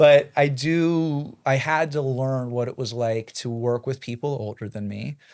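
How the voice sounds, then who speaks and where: A man with a General American accent speaks in a normal speaking voice of medium pitch, fairly slowly with hardly any pauses and ordinary pitch variation, on a very clean recording with a silent background. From Boulder, Colorado. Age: 20s. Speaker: real estate broker. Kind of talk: podcast interview answer.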